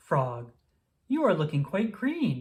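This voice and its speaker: A man's put-on character voice, fairly high in pitch, with very wide pitch swings. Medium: read story.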